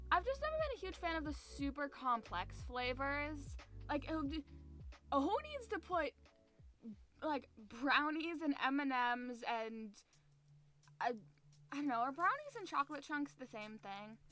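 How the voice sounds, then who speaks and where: With music in the background, a woman uses a raised, projected voice at a high pitch, speaking fairly slowly with lively intonation and long, frequent pauses. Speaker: streamer. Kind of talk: casual chat.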